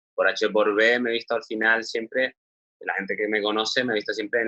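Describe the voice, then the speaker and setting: A man with a Canarian accent speaks at a moderate pace. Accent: Canarian Spanish, marked. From Canary Islands, Spain. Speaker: screenwriter and director. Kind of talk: interview. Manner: hesitant, with fillers.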